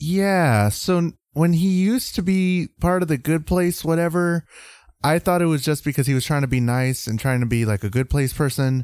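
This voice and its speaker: A man with an American accent speaks at a moderate pace with fairly high pitch, lively intonation and very even loudness. The recording is very clean and silent behind him, with a dry, close sound and no echo. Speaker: podcast host. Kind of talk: casual chat.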